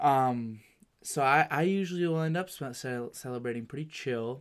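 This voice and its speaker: In a normal speaking voice, a man with an American accent talks at a medium pitch with ordinary pitch variation. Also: very clean recording, silent background. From Massachusetts (Medford). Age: 20s. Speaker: podcast host. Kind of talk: casual chat.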